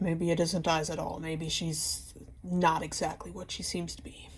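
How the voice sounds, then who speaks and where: A woman puts on a raspy character voice, pitched fairly low. She speaks at a moderate pace. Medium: solo performance. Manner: hesitant, halting.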